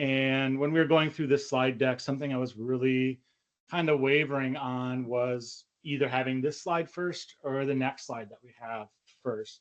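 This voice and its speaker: Here a man talks in a plain, everyday voice at a medium pitch. His pace is moderate and his intonation fairly even. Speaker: cybersecurity specialist at a bank. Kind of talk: webinar presentation. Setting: online webinar.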